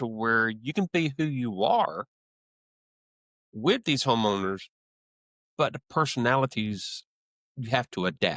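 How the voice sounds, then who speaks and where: A man with a Southern US accent, very wide pitch swings, long and frequent pauses, and a very clean recording over a silent background. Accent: American Southern. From US South, South Georgia. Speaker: HVAC salesman. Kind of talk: interview. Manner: halting.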